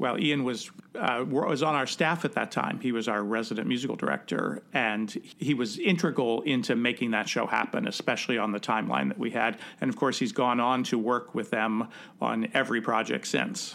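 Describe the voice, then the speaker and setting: A man's medium-pitched voice in a Midwestern American accent, fairly quick, with vocal fry, ordinary pitch variation, and very even loudness. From US Midwest, Cincinnati. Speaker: theatre director and podcast host. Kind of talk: casual interview chat.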